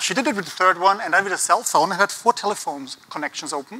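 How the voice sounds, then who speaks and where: Over noticeable background noise, a man with an Austrian accent speaks very fast, his pitch varying in an ordinary way. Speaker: conference speaker on design thinking. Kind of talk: conference talk. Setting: stage with audience.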